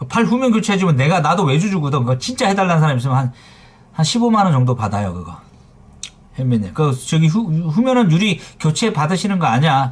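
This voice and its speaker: A man, animated in tone, with very wide pitch swings and a very fast pace. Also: fairly high pitch for a man. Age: 40s. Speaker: phone repair shop owner streaming live. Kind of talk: live stream chat with viewers. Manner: forceful, blunt; casual banmal, animated.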